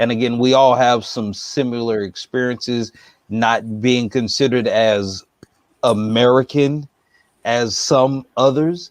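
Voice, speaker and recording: At a fairly slow pace, a man with an unremarkable speaking voice talks at a medium pitch with fairly even intonation. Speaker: interviewer, channel host. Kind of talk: interview question.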